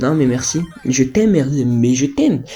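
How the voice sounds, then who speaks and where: Noticeable background noise runs under the recording. A man speaks in an animated tone. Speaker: gaming youtuber. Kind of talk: gameplay commentary.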